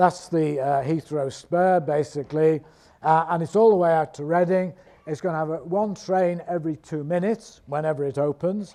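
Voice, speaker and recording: His tone is dark and mellow, with a fairly high pitch for a man. He speaks at a moderate pace with fairly even intonation. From northern England, Liverpool / Wirral. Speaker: professor. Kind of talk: lecture. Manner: hesitant, many fillers.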